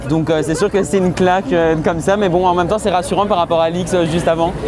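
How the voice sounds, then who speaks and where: The speech is very fast with fairly even intonation, and there is noticeable background noise. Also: man. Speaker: preparatory class student. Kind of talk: street interview.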